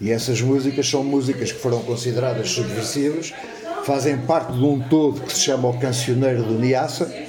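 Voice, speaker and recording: A man with a medium pitch and fairly even intonation talks at a moderate pace, with noticeable background noise present. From Lisbon, Portugal. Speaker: retired musician and war veteran. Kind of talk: casual chat. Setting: café table.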